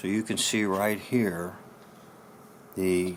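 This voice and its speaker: The voice has a bright, sharp tone and a flat, monotone delivery. It moves at a very slow pace. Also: man. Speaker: pastor and former speech teacher. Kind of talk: tutorial. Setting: solo to camera.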